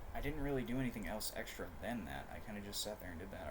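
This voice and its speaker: A man's voice with audible room echo. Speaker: streamer. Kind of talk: casual livestream chat. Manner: fast; halting.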